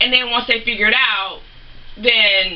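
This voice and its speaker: Over noticeable background noise, a woman with a fairly high pitch speaks at a moderate pace with ordinary pitch variation. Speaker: beauty and gaming vlogger. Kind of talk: casual unboxing vlog. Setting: home office.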